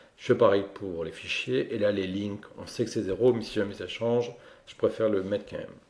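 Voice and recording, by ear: The speaker is a man with a fairly low pitch. He talks at a fairly quick pace. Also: ordinary pitch variation, slightly mellow tone.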